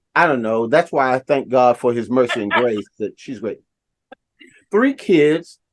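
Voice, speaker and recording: An unremarkable speaking voice from a man at medium pitch, with ordinary pitch variation, a fairly slow pace, and a dry, close sound with no echo. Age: 60s. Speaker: motivational speaker. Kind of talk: interview.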